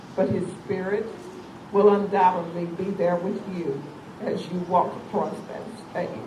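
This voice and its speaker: The speaker talks at a fairly slow pace with long, frequent pauses, over noticeable background noise. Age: 70s. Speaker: charity foundation founder and event emcee. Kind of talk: reading aloud a prepared tribute.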